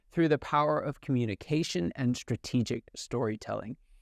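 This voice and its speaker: A man speaks in an enthusiastic tone. The sound is dry and close with no echo, and the background is quiet. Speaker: podcast host. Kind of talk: podcast interview.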